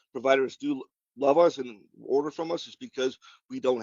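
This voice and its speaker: A man's fairly high voice at a fairly quick pace, with a Wisconsin accent. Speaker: pharmaceutical sales representative. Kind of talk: webinar presentation and Q&A. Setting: online webinar.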